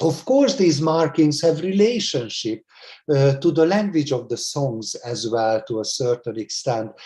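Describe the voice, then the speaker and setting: A man's somewhat breathy, fairly high voice with a dark, mellow tone at a fairly slow pace. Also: lively intonation. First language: Hungarian. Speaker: music educator. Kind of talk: lecture. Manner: halting, many fillers; formal.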